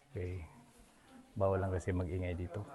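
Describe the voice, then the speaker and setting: This man's pitch is very deep and low. His tone is dark and mellow, and somewhat breathy. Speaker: travel vlogger. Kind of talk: casual vlog narration. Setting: outdoors, hilltop cave. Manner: soft-spoken, hushed inside cave.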